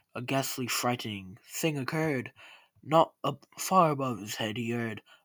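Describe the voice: Someone does a plain reading aloud. The pitch varies in an ordinary way.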